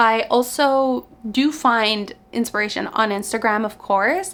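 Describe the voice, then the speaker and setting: In a Quebec accent, a woman speaks at a fairly high pitch. Her tone is bright and sharp, with ordinary pitch variation. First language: French. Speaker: knitting content creator. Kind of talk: casual Q&A vlog. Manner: casual, conversational.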